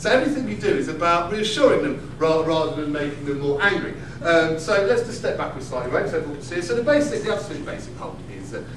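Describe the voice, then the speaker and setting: The speech runs at a very fast pace with hardly any pauses, lively intonation and big swings in loudness. Noticeable background noise and audible room echo are present. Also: man, fairly high pitch for a man. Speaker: comedian, slam poet. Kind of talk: live comedy performance. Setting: live stage with audience. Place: stage. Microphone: camera far.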